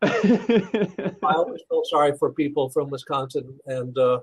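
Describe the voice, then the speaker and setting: This man's voice is somewhat breathy. He speaks with a strong Iowa accent. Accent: thick Iowa. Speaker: pastor and university administrator. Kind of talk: interview. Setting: call. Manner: halting, many fillers and repeats.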